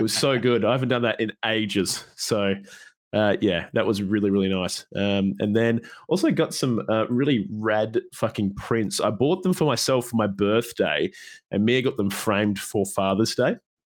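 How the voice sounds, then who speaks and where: A man with an Australian accent at a medium pitch, lively intonation and very even loudness, on a very clean recording with a silent background. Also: moderate pace. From Perth, Australia. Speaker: podcast host. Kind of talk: casual chat. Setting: live stream. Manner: informal, jokey.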